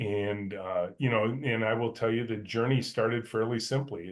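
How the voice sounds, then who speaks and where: A man speaks with an American accent at medium pitch. His pace is moderate and his intonation fairly even. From US Midwest, Michigan (north of Detroit). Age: 60s. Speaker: company CEO. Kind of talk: interview. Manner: hesitant, many fillers.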